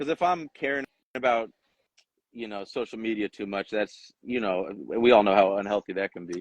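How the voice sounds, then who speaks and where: The sound is dry and close with no echo as a man with an unremarkable speaking voice talks at a moderate pace. His pitch is fairly low, with ordinary variation. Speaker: rapper. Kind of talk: casual interview.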